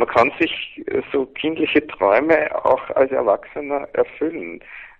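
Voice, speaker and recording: This man speaks at a very slow pace. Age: 40s. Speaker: men's coach and seminar leader. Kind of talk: interview.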